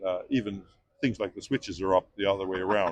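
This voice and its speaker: With a Canadian accent and a fairly low pitch, a man speaks at a fairly quick pace, the sound dry and close with no echo. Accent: Canadian, kept. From Canada. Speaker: passer-by interviewee. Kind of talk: street interview. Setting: outdoors on the street. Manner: halting.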